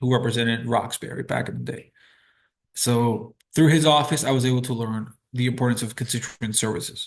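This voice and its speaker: With a normal speaking voice, a man talks at a fairly quick pace and medium pitch, keeping his intonation fairly even against a quiet background. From Boston, Massachusetts. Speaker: city councilor. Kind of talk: interview. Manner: conversational with frequent fillers.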